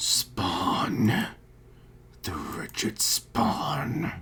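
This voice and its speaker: A man's quiet, growling put-on character voice over light background noise. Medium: actual play. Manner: halting, terse.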